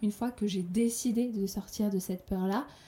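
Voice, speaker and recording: Her voice carries a somewhat breathy quality. The speaker is a woman. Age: 30s. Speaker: podcaster. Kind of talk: personal monologue.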